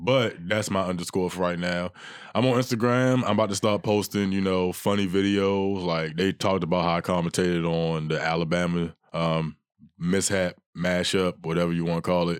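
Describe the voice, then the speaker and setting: On a very clean recording with a silent background, a man speaks with a Baltimore accent. His voice is very deep and low, with ordinary pitch variation and a fairly quick pace. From Baltimore, US. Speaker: comedian. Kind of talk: casual chat.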